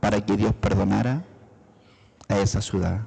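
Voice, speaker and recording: A man speaks at a fairly slow pace. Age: 60s. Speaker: lay preacher. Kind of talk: sermon. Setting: church service.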